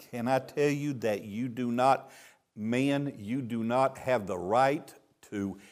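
A man speaks with a Texan accent and ordinary pitch variation. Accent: Texan Southern US. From Texas. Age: 70s. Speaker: traveling preacher. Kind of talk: sermon. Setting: church with congregation. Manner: joking, playful.

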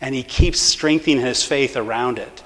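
The reading is done aloud in a natural voice. Its intonation is fairly even.

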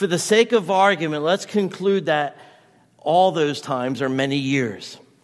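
A man with an unremarkable speaking voice talks at a moderate pace and a fairly high pitch, with lively intonation, in a very clean recording over a silent background. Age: 50s. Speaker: pastor. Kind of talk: sermon.

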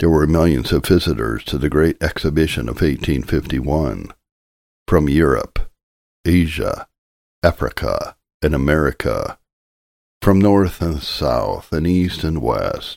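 A man speaks in a solemn tone at a very slow pace, leaving long, frequent pauses. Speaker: audiobook narrator reading a sermon. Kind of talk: scripted sermon reading, an old Puritan-style sermon read aloud as audiobook narration. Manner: earnest, solemn and urgent, pleading directly with the listener; formal, rhetorical, with repeated questions.

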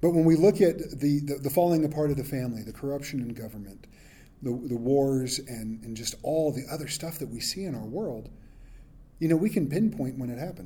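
Somewhat breathy and dark, mellow in tone, a man with a fairly high pitch talks at a fairly quick pace with lively intonation and big swings in loudness. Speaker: pastor. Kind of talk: sermon. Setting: church. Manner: casual.

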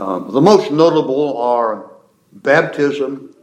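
A man with a fairly high voice speaks at a very slow pace, with audible room echo around him. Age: old. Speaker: pastor. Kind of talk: lecture.

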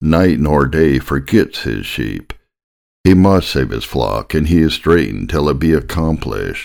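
Over a silent background on a very clean recording, a man with a very deep, low voice and vocal fry talks at a fairly slow pace with lively intonation. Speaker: audiobook narrator reading a Victorian sermon. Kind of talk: sermon read aloud, fervent pulpit delivery. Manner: earnest, impassioned, pleading; solemn, rhetorical, urgent.

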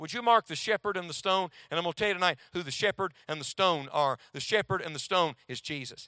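A man speaks in a high, bright, sharp voice, raised and projected, with lively intonation at a moderate pace. The sound is dry and close with no echo. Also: very clean recording, silent background. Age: 40s. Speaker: preacher. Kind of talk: sermon. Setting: college chapel with audience.

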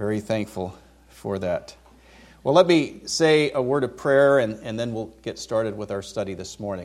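A man with an American accent has an unremarkable speaking voice, medium in pitch, with lively intonation and a moderate pace. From California (Vacaville). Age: 50s. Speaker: seminary professor, visiting preacher. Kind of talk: sermon.

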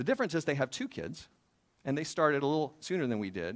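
A man with an ordinary speaking voice, fairly high in pitch, with lively intonation and a fairly quick pace, in a very clean recording over a silent background. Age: 40s. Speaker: pastor. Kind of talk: sermon.

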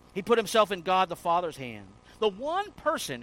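A man speaks with a high pitch at a moderate pace. His pitch swings very widely. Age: 50s. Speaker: pastor. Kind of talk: sermon. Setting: church.

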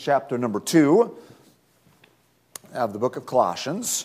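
In a put-on character voice, a man sounds hoarse and gravelly, with medium pitch, lively intonation and a moderate pace.

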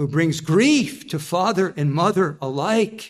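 This man has a high-pitched voice, ordinary pitch variation and a very slow pace. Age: 70s. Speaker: pastor. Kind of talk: sermon. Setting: church.

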